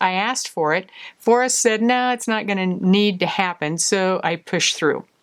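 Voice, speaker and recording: A woman's normal speaking voice, medium in pitch, with ordinary pitch variation and a moderate pace. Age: 60s. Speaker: naturopath and wellness coach. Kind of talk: talking-head teaching video. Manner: conversational with fillers.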